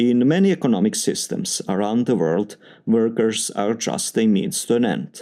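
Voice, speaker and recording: A man with a Serbian accent talks at a moderate pace. His tone is dark and mellow, and his intonation is lively. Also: medium pitch for a man, very even loudness. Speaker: doctoral student in engineering. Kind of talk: spoken test answer samples. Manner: formal.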